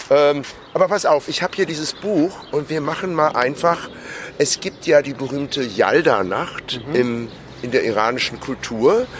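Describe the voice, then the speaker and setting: Over noticeable background noise, a fairly high-pitched man speaks at a moderate pace with lively intonation. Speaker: podcast co-host. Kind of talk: casual chat. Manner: loud.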